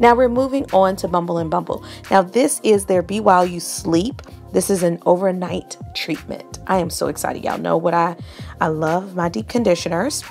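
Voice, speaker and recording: The woman keeps a moderate pace. In the background, music is faint. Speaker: beauty vlogger. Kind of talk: casual vlog chat. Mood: excited, opinionated. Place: shop. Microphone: phone near.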